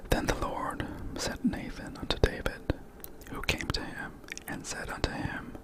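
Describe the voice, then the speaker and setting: Whispering at a moderate pace, with noticeable background noise behind it. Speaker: ASMR storyteller. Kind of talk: bedtime Bible reading. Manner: whispered.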